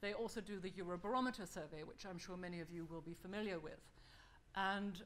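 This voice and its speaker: A woman talks with ordinary pitch variation. Audible room echo is present. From Germany. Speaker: think-tank fellow presenting a survey report. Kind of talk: conference presentation. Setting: conference hall with audience.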